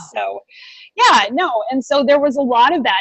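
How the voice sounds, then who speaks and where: A woman speaks loudly. Her pitch varies in an ordinary way. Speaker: veterinary entrepreneur. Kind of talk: podcast interview. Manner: fast.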